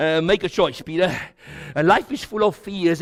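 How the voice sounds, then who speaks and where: Noticeable background noise sits behind a man speaking with a high pitch and ordinary pitch variation. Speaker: pastor. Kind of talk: sermon. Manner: animated.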